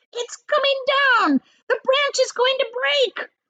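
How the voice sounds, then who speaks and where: A woman shouts in a squeaky, put-on character voice at an extremely high pitch. She goes at a fairly slow pace with fairly even intonation. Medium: read story. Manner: sharp, shouting.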